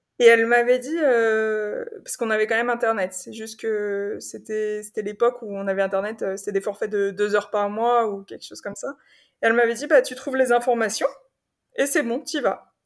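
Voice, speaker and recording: Against a very clean, silent background, a woman speaks at a fairly quick pace and fairly high pitch, with fairly even intonation and big swings in loudness. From Paris region, France. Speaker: semi-nomadic traveller. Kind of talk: interview testimony. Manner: halting, many repetitions and fillers.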